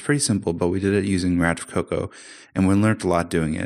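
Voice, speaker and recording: A man with a Canadian accent at a very fast pace, with ordinary pitch variation, on a very clean recording with a silent background. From Canada. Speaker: software developer. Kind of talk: casual technical interview.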